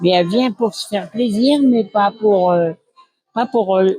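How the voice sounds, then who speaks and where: Music plays behind the speaker. A woman talks at a medium pitch. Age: 80s+. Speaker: nursing home resident. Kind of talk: testimony. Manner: halting.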